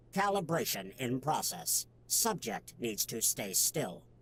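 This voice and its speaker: A man's put-on character voice at medium pitch, very wide pitch swings and a fairly slow pace, with clear background noise. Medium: video game. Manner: flat, procedural, deadpan.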